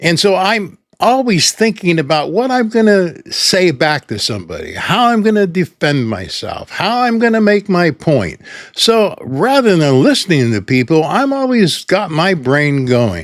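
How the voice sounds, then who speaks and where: A man speaks at a fairly slow pace with hardly any pauses. His pitch is high and swings very widely. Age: 80s+. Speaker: YouTuber. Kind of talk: personal reflection.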